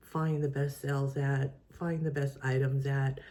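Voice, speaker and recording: A woman speaks with a very deep, low pitch. Her pace is fairly slow and her intonation monotone and flat. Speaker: part-time reseller and video creator. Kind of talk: casual vlog. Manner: hesitant, many fillers.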